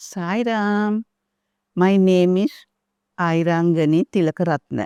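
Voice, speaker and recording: A woman speaks at medium pitch with ordinary pitch variation and a dark, mellow tone. The background is quiet, and the sound is dry and close with no echo. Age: 80s+. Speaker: devotee. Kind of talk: testimony. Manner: halting.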